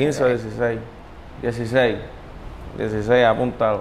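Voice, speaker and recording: There is audible room echo and noticeable background noise as a man talks at a medium pitch. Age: 20s. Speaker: reggaeton artist. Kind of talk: interview. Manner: laid-back.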